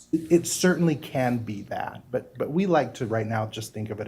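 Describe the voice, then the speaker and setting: Somewhat breathy and dark, mellow in tone, the voice shows ordinary pitch variation. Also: man. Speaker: inland port agency representative. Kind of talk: presentation to city council. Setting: city council meeting. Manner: fast.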